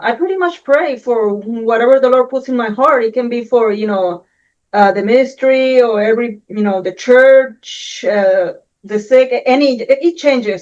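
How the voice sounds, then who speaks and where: The speaker has a Puerto Rican accent and ordinary pitch variation. The pace is moderate, and the background is quiet. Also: woman, high pitch for a woman. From Puerto Rico. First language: Spanish. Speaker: Air Force veteran, housewife. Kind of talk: interview testimony.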